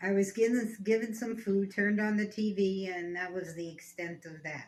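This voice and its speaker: Medium pitch from a woman at a moderate pace, with fairly even intonation, big swings in loudness and noticeable background noise. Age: 70s. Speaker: grandmother facing eviction. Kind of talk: recorded interview. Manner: halting.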